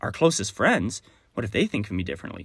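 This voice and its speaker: With lively intonation, a man speaks in a fairly low pitch that is somewhat breathy. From Texas. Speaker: podcast host, entrepreneur and speaker. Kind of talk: solo podcast monologue. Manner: enthusiastic, conversational.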